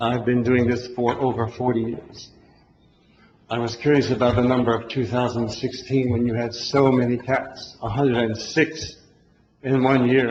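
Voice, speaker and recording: A man's medium-pitched voice in monotone, flat intonation, at a moderate pace with audible room echo. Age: 60s. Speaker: resident speaking at public comment. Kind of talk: public comment at town hall. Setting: town hall meeting.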